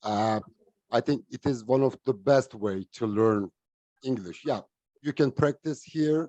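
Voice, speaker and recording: A man with a non-native accent talks at a fairly slow pace, leaving long, frequent pauses. His medium-pitched voice has a dark, mellow tone and ordinary pitch variation, recorded with a dry, close sound and no echo. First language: not English. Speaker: online English club participant. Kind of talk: casual group discussion. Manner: halting.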